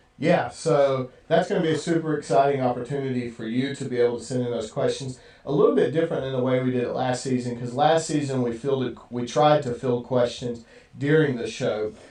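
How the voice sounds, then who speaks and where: With fairly even intonation and a medium pitch, a man talks fairly quickly against noticeable background noise. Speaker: preacher. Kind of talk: casual chat. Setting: livestream video. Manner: fast.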